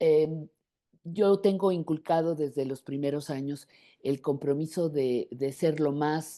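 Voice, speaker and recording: A woman's very deep, low voice with a dark, mellow tone, very slow pace and fairly even intonation over a quiet background. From Mexico. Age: 70s. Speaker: journalist. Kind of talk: interview.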